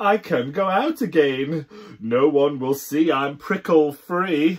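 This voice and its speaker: Here a man uses a put-on character voice. He talks at a fairly slow pace. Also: fairly high pitch for a man. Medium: read story. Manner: shy, bashful.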